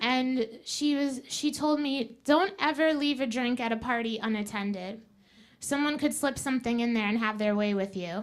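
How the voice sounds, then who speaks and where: Her pitch is high, and it varies in an ordinary way. The woman speaks at a moderate pace. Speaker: student comedian. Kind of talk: stand-up. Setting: stage with audience.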